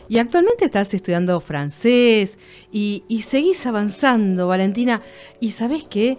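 A woman in a Rioplatense accent, fairly high-pitched, with lively intonation and a fairly slow pace. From Argentina, Buenos Aires. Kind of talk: casual interview.

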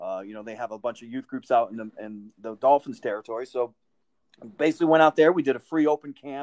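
A man with an American accent talks at a very fast pace with ordinary pitch variation, the sound dry and close with no echo. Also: medium pitch for a man. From Connecticut, Winsted. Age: 50s. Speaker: football players' union manager. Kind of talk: interview.

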